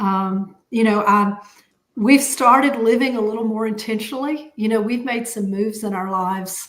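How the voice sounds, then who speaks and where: At a moderate pace, a woman with a Southern US accent speaks in a fairly high voice with fairly even intonation. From US South, Atlanta. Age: 60s. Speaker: podcast co-host, accountant. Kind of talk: casual chat. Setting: live stream.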